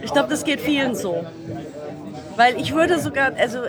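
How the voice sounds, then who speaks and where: Over crowd noise and audible room echo, a woman speaks at a moderate pace. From Germany, Düsseldorf. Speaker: musician's child, former community radio host. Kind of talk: casual interview. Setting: convention floor. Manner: animated, hesitant.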